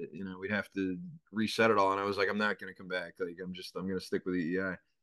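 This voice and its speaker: A man with a Boston accent talks at a very fast pace in a very deep, low voice, his intonation flat and monotone, and the sound is dry and close with no echo. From Boston, North End. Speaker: sports radio host. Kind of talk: interview.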